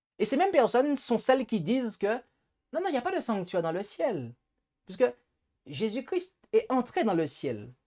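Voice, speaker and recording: At a moderate pace and with long, frequent pauses, the speaker talks in a Martinican accent. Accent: Antillean (Martinican) accent, noticeable. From Martinique. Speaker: preacher, Bible teacher. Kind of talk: Bible study lecture. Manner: hesitant, with repetitions and fillers.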